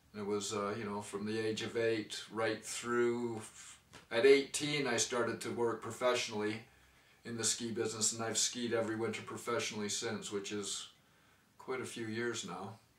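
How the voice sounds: A man talks at a fairly low pitch with little pitch movement and a fairly bright tone. Room echo is audible. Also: moderate pace.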